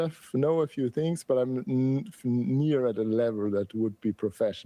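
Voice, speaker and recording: This man has an Austrian accent and a dark, mellow tone. He talks at a fairly quick pace with lively intonation. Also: quiet background. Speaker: typography educator and designer. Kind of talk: podcast interview. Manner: animated.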